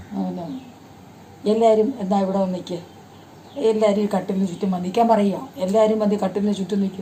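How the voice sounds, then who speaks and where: A woman speaks with monotone, flat intonation. Noticeable background noise runs under her voice. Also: medium pitch for a woman. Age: 90s. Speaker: elderly storyteller. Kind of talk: casual storytelling. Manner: halting.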